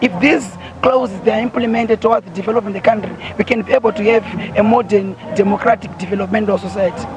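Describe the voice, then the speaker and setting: Over noticeable background noise, a man speaks at a very fast pace in a high voice. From Zimbabwe. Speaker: student union spokesperson. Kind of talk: live TV news interview answer.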